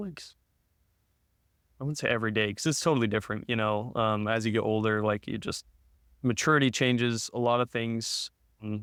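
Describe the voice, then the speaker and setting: On a very clean recording with a silent background, a man with an American accent talks at a fairly quick pace in a medium-pitched voice, his intonation fairly even and broken by long, frequent pauses. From Utah. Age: 20s. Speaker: podcast guest, law student. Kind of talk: casual interview, personal testimony.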